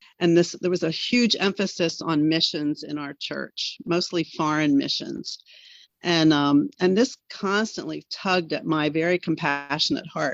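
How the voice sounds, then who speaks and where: This woman has a fairly low pitch with vocal fry. She speaks at a moderate pace with ordinary pitch variation. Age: 70s. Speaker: former missionary, podcast guest. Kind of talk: interview, personal testimony.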